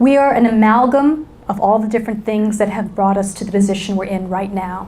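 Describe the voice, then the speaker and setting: In a New York accent, a woman speaks at a moderate pace with a fairly high pitch. Audible room echo surrounds her voice. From New York City. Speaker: business school lecturer and keynote speaker. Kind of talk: keynote talk. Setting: stage with audience. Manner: animated.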